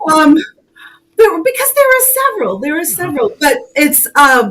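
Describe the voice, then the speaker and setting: Speaking with a New England accent, a woman makes very wide pitch swings. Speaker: co-host, spiritual content creator. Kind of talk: casual chat. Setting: live stream.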